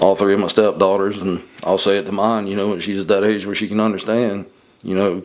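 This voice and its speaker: A man with a Southern accent talks at a very fast pace. His fairly low voice stays monotone and flat. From US Deep South. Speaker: podcast co-host. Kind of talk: casual chat.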